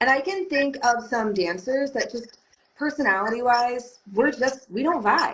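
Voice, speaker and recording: The voice is loud and fairly slow, with lively intonation. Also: woman, high pitch for a woman. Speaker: belly dance teacher. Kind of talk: podcast interview.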